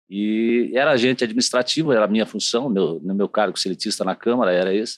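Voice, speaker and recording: A man talks at a very fast pace with medium pitch, ordinary pitch variation and very even loudness, in a dry, close sound with no echo. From southern Brazil, Curitiba (Paraná). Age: 50s. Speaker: city councillor and TV journalist. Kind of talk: interview. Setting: studio.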